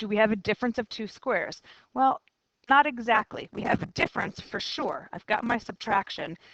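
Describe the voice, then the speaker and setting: A woman's fairly high voice with lively intonation at a moderate pace, in a dry, close sound with no echo. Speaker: math teacher. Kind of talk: lecture.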